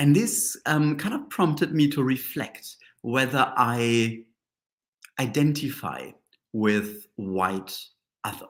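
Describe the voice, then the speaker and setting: With a strong German accent, a man speaks very slowly at medium pitch, with lively intonation and long, frequent pauses, on a very clean recording with a silent background. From Germany. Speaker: Reiki master and teacher. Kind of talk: live-stream reflective talk. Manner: halting, many fillers.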